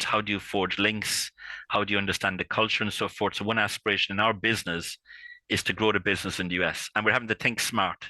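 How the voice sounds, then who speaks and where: In a strong Irish accent, a man talks at a very fast pace with a bright, sharp tone and monotone, flat intonation, in a dry, close sound with no echo and a quiet background. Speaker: intellectual property consultant. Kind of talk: interview. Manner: halting, many fillers and repeats.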